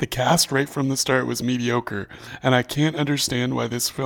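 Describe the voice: Here is plain reading aloud, its intonation kept fairly even.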